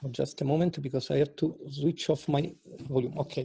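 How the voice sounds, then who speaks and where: A somewhat breathy voice with a non-native accent at a moderate pace. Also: man. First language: not English. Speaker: speaker at an interfaith peace event. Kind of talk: speech at online event. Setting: video call with screen share. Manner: halting.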